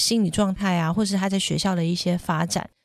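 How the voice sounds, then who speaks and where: In a very clean recording with a silent background, a woman speaks at a moderate pace in an ordinary speaking voice. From Taiwan. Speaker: parenting podcast host. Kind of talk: casual chat.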